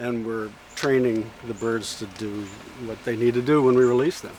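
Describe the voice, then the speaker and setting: At a moderate pace and medium pitch, a man talks with fairly even intonation but big swings in loudness, against noticeable background noise. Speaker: wildlife research center director. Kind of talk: casual explanation to camera.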